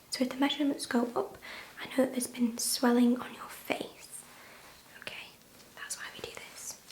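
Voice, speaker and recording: Against noticeable background noise, a woman speaks in a calm tone. Her voice is high-pitched and soft-spoken. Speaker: ASMR nurse roleplay artist. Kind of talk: ASMR roleplay as a nurse talking to a patient. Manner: soft-spoken, calm, reassuring.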